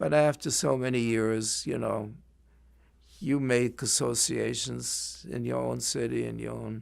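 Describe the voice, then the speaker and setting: At a fairly slow pace, a man talks with a German accent. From Germany. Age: 80s+. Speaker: Holocaust survivor, retired librarian. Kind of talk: oral history interview. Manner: halting.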